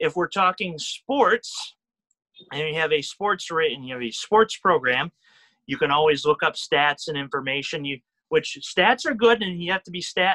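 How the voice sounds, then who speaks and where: A high-pitched man speaks at a moderate pace with a bright, sharp tone and lively intonation. The sound is dry and close with no echo, and his loudness rises and falls a great deal. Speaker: radio broadcaster. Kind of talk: interview. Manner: peppy; halting, self-correcting.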